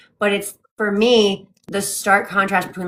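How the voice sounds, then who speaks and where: Vocal fry runs through a woman's voice. She talks at a moderate tempo. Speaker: book club co-host. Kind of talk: casual chat. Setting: livestream from home.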